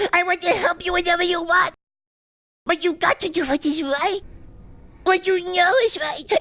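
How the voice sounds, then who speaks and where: Doing a cartoonish character voice, a man speaks at extremely high pitch and a moderate pace, with long, frequent pauses. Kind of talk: comic parody dub.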